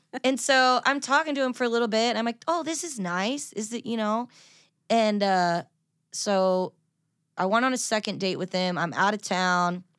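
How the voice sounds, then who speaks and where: In a very clean recording with a silent background, a woman with a normal speaking voice talks at a moderate pace, fairly high in pitch, with lively intonation. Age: 30s. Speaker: country singer. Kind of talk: casual chat.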